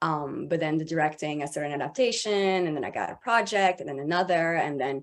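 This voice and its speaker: Very deep, low pitch from a woman, delivered at a fairly quick pace. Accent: French. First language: French. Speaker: voice actor and voice director. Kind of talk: panel discussion. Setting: video call.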